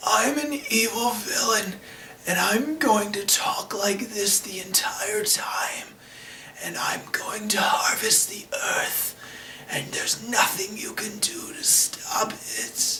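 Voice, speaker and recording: Whispering in a put-on character voice, a man speaks at a fairly slow pace. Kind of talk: bad impression. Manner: menacing, exaggerated.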